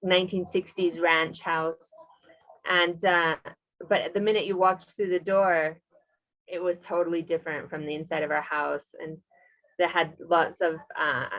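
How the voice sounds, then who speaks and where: A woman with an American accent speaks at a fairly low pitch and a moderate pace. Her intonation is flat and monotone, broken by long, frequent pauses. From US Midwest, Des Moines, Iowa. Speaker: English teacher and expat. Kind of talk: interview. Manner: hesitant, many fillers.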